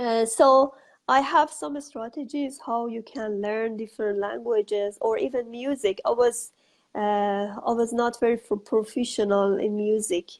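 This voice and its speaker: A woman with an Iranian accent, fairly high in pitch, at a moderate pace with ordinary pitch variation. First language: Farsi. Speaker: author and educator. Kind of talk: interview. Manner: halting.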